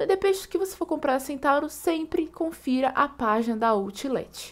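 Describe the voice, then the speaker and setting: Speaking at a fairly quick pace, a woman with a Brazilian accent uses a high pitch and lively intonation. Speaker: coupon and deals channel host. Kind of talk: online shopping tutorial and sales pitch, screen-share walkthrough. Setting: screen recording voiceover. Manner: upbeat, enthusiastic pitchman pushing deals, fluent and fast-paced; friendly, casual, step-by-step explanatory.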